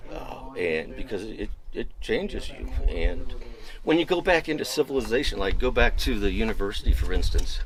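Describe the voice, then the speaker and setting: Noticeable background noise runs behind a man who talks at a moderate speed. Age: 60s. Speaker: history professor and former fire lookout. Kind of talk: interview. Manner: halting with fillers.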